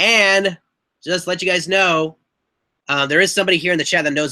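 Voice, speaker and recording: A man's high voice, bright and sharp in tone, with ordinary pitch variation on a very clean recording against a silent background. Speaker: YouTuber hosting a live chat. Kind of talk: casual live-stream chat.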